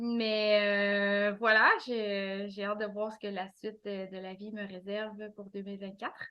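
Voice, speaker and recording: At a fairly slow pace, a woman with a Quebec accent speaks at a medium pitch with monotone, flat intonation. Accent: Québécois French. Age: 40s. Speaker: administrative assistant and author. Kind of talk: interview. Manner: halting, many hesitations.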